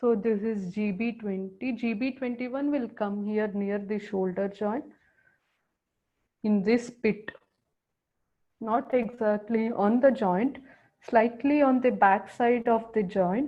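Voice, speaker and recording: Speaking at a very slow pace, a woman keeps her intonation fairly even and leaves long, frequent pauses. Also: fairly high pitch for a woman. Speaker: acupressure teacher. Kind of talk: lecture.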